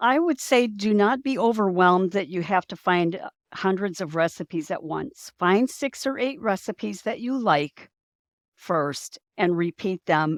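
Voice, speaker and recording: A woman with a plain, everyday voice speaks at a fairly slow pace in a medium pitch with lively intonation, on a very clean recording with a silent background and a dry, close sound with no echo. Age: 60s. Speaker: nutrition educator and author. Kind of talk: interview.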